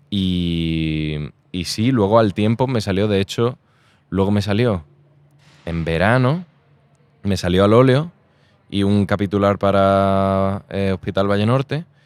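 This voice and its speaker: Pausing long and often, a man with fairly low pitch and ordinary pitch variation speaks at a very slow pace. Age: 20s. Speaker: actor. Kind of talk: casual chat. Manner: animated.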